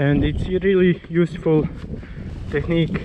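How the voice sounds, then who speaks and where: With noticeable background noise behind him, a man talks in a fairly even intonation. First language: not English. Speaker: enduro rider, video tutorial maker. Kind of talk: tutorial. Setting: outdoors. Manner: halting.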